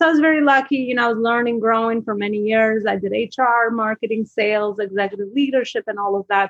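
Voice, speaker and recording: A woman with a fairly high pitch talks at a very fast pace. Her intonation stays fairly even, and the sound is dry and close with no echo. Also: hardly any pauses. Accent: Albanian. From Albania. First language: Albanian. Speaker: business coach. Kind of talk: interview. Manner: rambling, hesitant with fillers.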